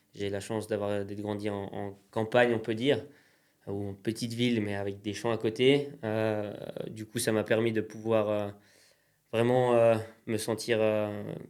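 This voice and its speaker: A man's fairly low, monotone voice at a fairly slow pace, flat in intonation and broken by long, frequent pauses. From Pays de Gex, France, near Geneva border. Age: 20s. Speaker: entrepreneur, craftsman. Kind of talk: interview. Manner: hesitant, many fillers.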